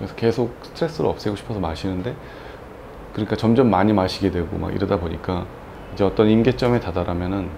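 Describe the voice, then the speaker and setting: A man with a plain, everyday voice and a fairly low pitch talks at a fairly quick pace over light background noise. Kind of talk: interview answer. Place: home room. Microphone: lapel.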